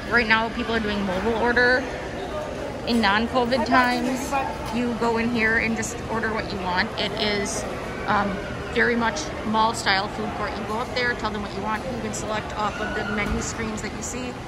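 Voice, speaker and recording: Loud noise surrounds a woman who keeps a moderate speaking pace. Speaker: travel planner vlogger. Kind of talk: tour commentary. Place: hall. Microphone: phone near.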